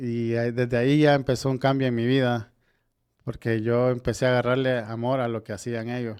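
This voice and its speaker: Delivered at a moderate pace in a monotone, flat intonation, the speech carries a Honduran accent on a very clean recording with a silent background. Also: man, medium pitch for a man. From Tegucigalpa, Honduras. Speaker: builder. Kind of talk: podcast interview answer.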